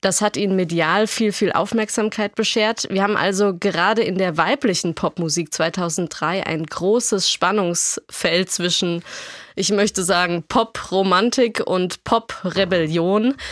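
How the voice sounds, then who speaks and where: A woman's normal speaking voice at medium pitch, fairly slow in pace, with very even loudness and ordinary pitch variation. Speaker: podcast host. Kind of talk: casual chat.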